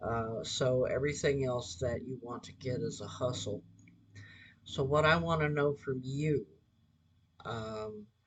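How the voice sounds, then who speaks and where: A man's medium-pitched, somewhat breathy voice moves at a fairly slow pace, with long, frequent pauses and big swings in loudness. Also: ordinary pitch variation. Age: 60s. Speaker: resume writer and recruiter. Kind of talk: casual monologue appeal. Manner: halting, many fillers.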